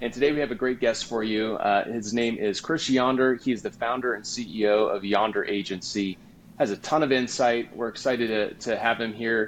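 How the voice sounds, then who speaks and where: With hardly any pauses, a man talks at a medium pitch with fairly even intonation in a plain, everyday voice. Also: moderate pace. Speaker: podcast host, mortgage professional. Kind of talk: podcast interview.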